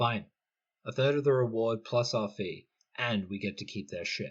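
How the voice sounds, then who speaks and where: Using a gruff, put-on character voice, a man speaks at a moderate pace and medium pitch with ordinary pitch variation. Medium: read story. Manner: gruff, curt.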